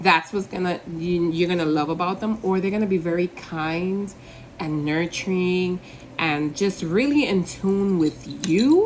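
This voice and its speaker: Noticeable background noise sits behind this recording. A woman talks at a fairly low pitch and a moderate pace. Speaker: tarot reader. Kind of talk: tarot reading to camera. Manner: casual, conversational with fillers; stutters at times.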